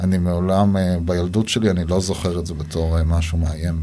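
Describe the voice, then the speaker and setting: A man with a very deep, low voice talks at a fairly quick pace in a flat monotone, with audible room echo and noticeable background noise. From Israel, Gaza border kibbutz. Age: 40s. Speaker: avocado farmer. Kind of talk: interview. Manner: halting.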